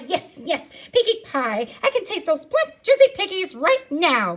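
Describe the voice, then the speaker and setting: This is a put-on character voice moving at a moderate pace. Its pitch swings very widely. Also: female-sounding voice, extremely high pitch for a woman. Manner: hungry, relishing.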